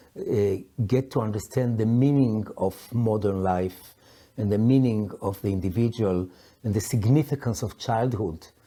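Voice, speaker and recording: A man's very slow, fairly low-pitched voice, dark and mellow in tone, with ordinary pitch variation on a very clean recording with a silent background. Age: 60s. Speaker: psychologist and coach. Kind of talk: personal reflective talk. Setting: sitting at a historic house in London. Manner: halting, many fillers.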